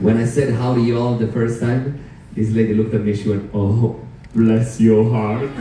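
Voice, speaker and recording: A man's medium-pitched voice at a moderate pace, with very even loudness, audible room echo and noticeable background noise. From Sicily, Italy. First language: Italian. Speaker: cruise director. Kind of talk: stage show hosting. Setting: theater stage with audience. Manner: animated.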